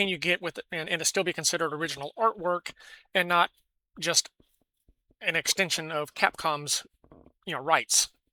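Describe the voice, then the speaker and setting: Speaking at a very fast pace with an American accent, a woman has a fairly low, bright, sharp voice and ordinary pitch variation, recorded very cleanly with a silent background and a dry, close sound with no echo. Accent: self-described weird. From California. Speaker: gaming news commentator. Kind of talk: casual news commentary. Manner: halting, many fillers and restarts.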